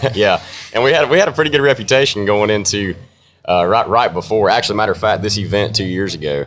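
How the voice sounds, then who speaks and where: Talking at a very fast pace, a man uses lively intonation in an American accent. His pitch is fairly low. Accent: country twang. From North Carolina mountains. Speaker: country music artist. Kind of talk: casual interview.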